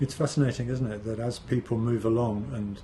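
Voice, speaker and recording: A man with a dark, mellow tone talks in a somewhat breathy voice at medium pitch, his intonation fairly even. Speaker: podcast host. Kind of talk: podcast interview.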